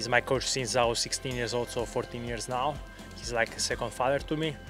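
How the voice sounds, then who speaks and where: A man at a moderate pace with fairly even intonation, dry sound with no echo, and clear music in the background. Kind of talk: interview answer. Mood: calm, reflective. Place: waterside. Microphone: handheld.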